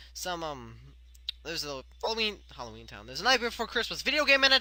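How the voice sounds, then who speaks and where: A man mumbles. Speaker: video commentator. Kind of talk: casual video commentary. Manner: fast; mumbling.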